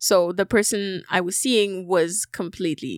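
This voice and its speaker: A woman with a normal speaking voice, medium pitch and fairly slow pace, in a dry, close sound with no echo and a very clean recording with a silent background. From Algeria, moved to Canada at about 12. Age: 20s. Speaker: singer-songwriter and entrepreneur. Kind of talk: casual chat.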